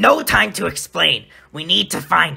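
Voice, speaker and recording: Using a put-on character voice, a man sounds raspy while speaking at a moderate pace. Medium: audio drama.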